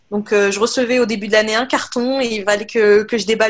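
A woman talks at a fairly quick pace. Her fairly high pitch stays in a monotone, flat intonation. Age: 20s. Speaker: office worker. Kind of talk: testimony. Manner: halting.

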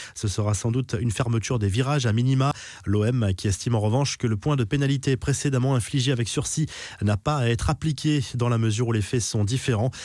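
In a plain, everyday voice, a man talks at a fairly quick pace and a medium pitch, with ordinary pitch variation and very even loudness. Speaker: sports news presenter. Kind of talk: sports news reading, scripted daily football news bulletin. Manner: brisk, steady newsreader delivery, formal and neutral.

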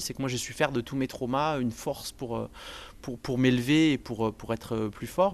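Fairly quick speech from a man at a medium pitch with ordinary pitch variation. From southern France, Montpellier. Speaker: video game industry worker. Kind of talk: personal testimony interview. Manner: halting, many hesitations.

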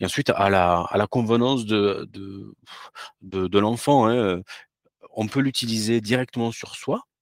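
A man's fairly low, fairly even voice at a fairly slow pace, with long, frequent pauses, big swings in loudness and a dry, close sound with no echo. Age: 40s. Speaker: entrepreneur selling sleep products. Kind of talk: podcast interview. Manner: hesitant, many repetitions.

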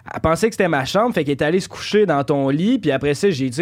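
A man speaks at a very fast pace. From Quebec, Saint-Lambert-de-Lauzon. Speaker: content creator. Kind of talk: casual chat.

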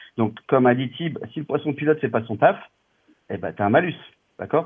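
A man's voice at a moderate pace, with lively intonation. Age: 40s. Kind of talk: casual chat.

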